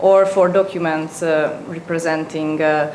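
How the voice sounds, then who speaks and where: Speaking at a fairly slow pace in a Hungarian accent, a woman is heard with audible room echo and noticeable background noise. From Hungary. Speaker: student presenter. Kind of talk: presentation. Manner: halting, many fillers.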